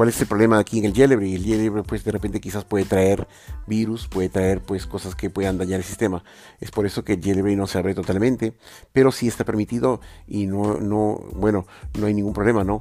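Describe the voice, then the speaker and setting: Music plays in the background as a man talks at a fairly quick pace. His pitch is fairly low, with ordinary pitch variation. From Peru, Lima. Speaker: tech podcast host. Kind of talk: solo tech podcast monologue. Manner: hesitant, many filler sounds.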